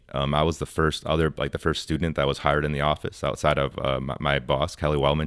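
Talking at a very fast pace, a man with an American accent has a very deep, low pitch and vocal fry. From Wisconsin. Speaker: university sustainability manager. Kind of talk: radio interview. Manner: casual with frequent fillers.

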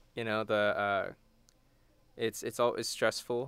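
A man with an American accent, a bright, sharp tone, fairly low pitch and fairly even intonation, in a very clean recording with a silent background. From Texas, Houston. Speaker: college student and a cappella singer. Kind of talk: radio interview. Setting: radio studio.

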